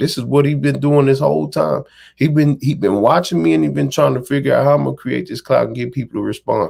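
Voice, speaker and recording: A man with an American accent on a very clean recording with a silent background. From Texas, Dallas. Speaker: amateur boxer and internet personality. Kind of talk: interview storytelling. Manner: animated.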